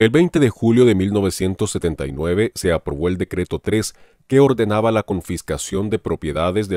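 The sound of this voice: At a moderate pace, a man with a low pitch and slightly mellow tone speaks with lively intonation in a very clean, dry, close recording with no echo and a silent background.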